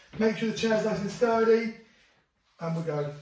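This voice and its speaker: Speaking at a fairly quick pace with a high pitch and ordinary pitch variation, a man is heard through audible room echo and light background noise. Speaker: fitness instructor. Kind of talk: workout instruction with counting. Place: home room. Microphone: camera far.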